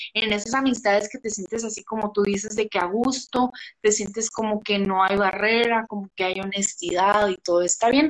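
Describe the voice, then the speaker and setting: Moving at a moderate pace with hardly any pauses, a woman speaks with fairly even intonation. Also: fairly high pitch for a woman. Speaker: podcast host. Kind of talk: casual live chat. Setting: live stream on Instagram.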